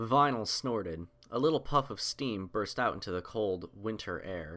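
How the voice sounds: Fairly low-pitched male voice, fairly bright in tone, at a fairly slow pace. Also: ordinary pitch variation.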